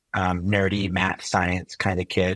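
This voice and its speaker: A man talks in a Californian accent at a very deep, low pitch. His delivery is fairly slow with monotone, flat intonation. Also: very clean recording, silent background. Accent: California American English. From US, Silicon Valley (born in Chile). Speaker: physician and health technologist. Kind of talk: interview conversation.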